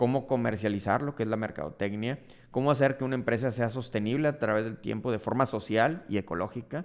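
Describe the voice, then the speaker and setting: A medium-pitched man talks at a very fast pace with ordinary pitch variation. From Mexico, Monterrey, Nuevo León. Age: 40s. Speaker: dermatologist and entrepreneur, podcast host. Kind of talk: personal storytelling monologue.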